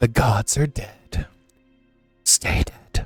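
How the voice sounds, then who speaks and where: A man whispers in a put-on character voice. The sound is dry and close with no echo, and faint music plays in the background. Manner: commanding, ominous.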